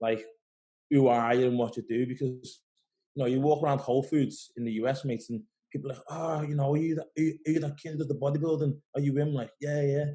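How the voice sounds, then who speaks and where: With a Liverpool accent, a man speaks very fast in a fairly high, somewhat breathy voice of dark, mellow tone and fairly even intonation. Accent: Scouse. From Liverpool, England. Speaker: pro bodybuilder. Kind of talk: casual interview.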